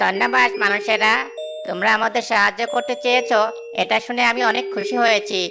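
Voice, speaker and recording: A cartoonish character voice speaks at a moderate pace with clear music in the background. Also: female-sounding voice, medium pitch for a woman. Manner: courteous, respectful.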